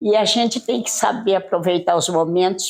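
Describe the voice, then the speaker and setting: Noticeable background noise runs beneath a woman whose medium-pitched voice shows ordinary pitch variation. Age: 80s+. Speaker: interview guest. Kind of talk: interview.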